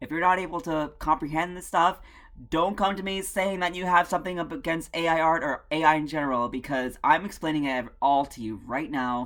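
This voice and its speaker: A plain, everyday voice from a woman at fairly low pitch, fairly quick pace, ordinary pitch variation and big swings in loudness, on a very clean recording with a silent background. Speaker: video essayist. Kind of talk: video essay commentary.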